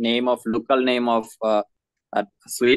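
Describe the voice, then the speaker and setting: A man speaks at a medium pitch in a Bangladeshi accent. The sound is dry and close, with no echo. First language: Bengali. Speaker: nursing graduate. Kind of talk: English conversation practice. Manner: hesitant, many fillers.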